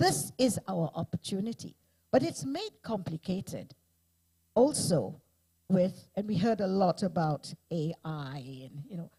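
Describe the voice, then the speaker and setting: Dry and close with no echo, a woman's somewhat breathy, fairly low voice has a dark, mellow tone. Her fairly slow delivery features lively intonation and big swings in loudness. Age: 70s. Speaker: panel moderator. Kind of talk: panel discussion.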